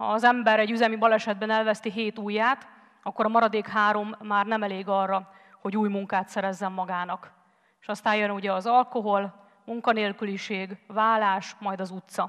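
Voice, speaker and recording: A woman speaks at a moderate pace in a monotone with flat intonation. The background is quiet. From Hungary. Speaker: former volunteer, teacher; conference speaker. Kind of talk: TED-style talk. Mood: earnest storytelling. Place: stage. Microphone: headset.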